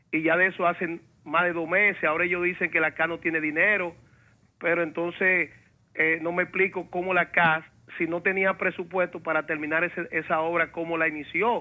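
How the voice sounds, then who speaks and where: Monotone and flat in intonation, a man speaks at a fairly quick pace with a high pitch. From Dominican Republic. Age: 50s. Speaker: caller; talk show host or commentator. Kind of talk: call-in complaint on talk radio. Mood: indignant, critical. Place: studio. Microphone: lapel.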